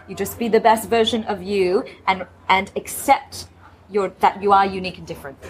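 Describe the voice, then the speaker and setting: A woman speaks at a medium pitch with big swings in loudness and long, frequent pauses, over noticeable background noise. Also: moderate pace. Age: 30s. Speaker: former radio host turned public speaker. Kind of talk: casual interview. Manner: animated.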